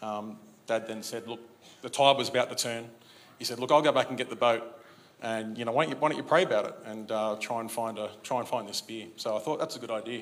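Very fast speech in an Australian accent keeps a fairly even intonation, with audible room echo. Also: man, medium pitch for a man. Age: 40s. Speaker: church member. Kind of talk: testimony. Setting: church. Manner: halting.

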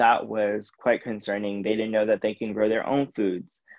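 Flat and monotone, a man's fairly low voice barely shifts in intonation. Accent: American. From US West Coast. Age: 20s. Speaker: climate activist. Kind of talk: interview.

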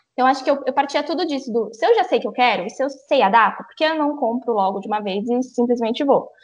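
A woman talks at a very fast pace with ordinary pitch variation. Noticeable background noise is present. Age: 20s. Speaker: travel influencer. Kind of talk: casual chat.

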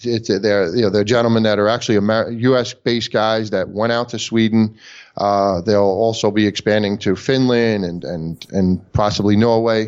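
At a moderate pace with hardly any pauses, a man speaks at a fairly low pitch and fairly even intonation. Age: 50s. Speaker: company president in bitcoin mining. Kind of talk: interview. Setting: call. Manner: hesitant, many fillers.

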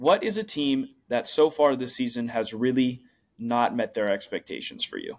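This man has an unremarkable speaking voice with a medium pitch. He talks at a moderate pace with lively intonation. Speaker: podcast host. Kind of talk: casual chat.

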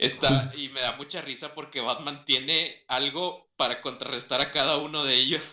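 A man's bright, sharp tone at a medium pitch, moderate in pace and fairly even in intonation. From Mexico. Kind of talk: casual chat.

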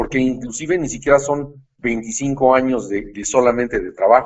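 With ordinary pitch variation, a man speaks at a medium pitch and a fairly slow pace. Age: 60s. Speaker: financial expert. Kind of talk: explanatory interview. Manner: halting, many fillers.

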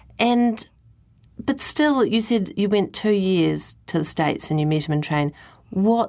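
In a very clean recording with a silent background, a woman with a New Zealand accent talks at a fairly slow pace with lively intonation. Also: very even loudness. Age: 40s. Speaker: radio host. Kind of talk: interview.

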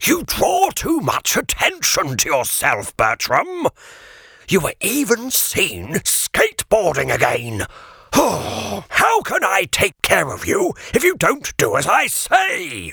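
A man speaks in a put-on character voice, pitched extremely high. The pace is fairly slow, and the sound is dry and close with no echo. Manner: formal, scolding, weary.

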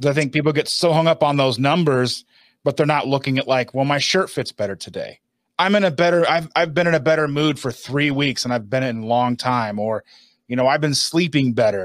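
On a very clean recording with a silent background, a man talks at a fairly quick pace in an ordinary speaking voice with fairly high pitch. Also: ordinary pitch variation. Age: 40s. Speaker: keto lifestyle video creator. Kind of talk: casual interview.

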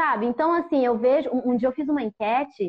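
Here is an unremarkable speaking voice. Its pace is moderate, and its pitch varies in an ordinary way. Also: woman. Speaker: podcast host, photographer. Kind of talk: casual chat. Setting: video call.

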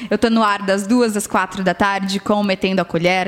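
Noticeable background noise accompanies a woman speaking at a moderate pace with medium pitch and fairly even intonation. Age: 30s. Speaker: radio announcer. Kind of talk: casual chat. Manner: talkative, radio-announcer delivery.

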